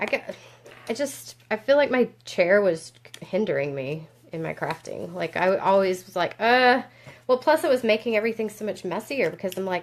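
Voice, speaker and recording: A woman speaks with a fairly high pitch at a moderate pace. Her pitch swings very widely. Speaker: papercraft tutorial host. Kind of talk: live craft tutorial. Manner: casual, chatty.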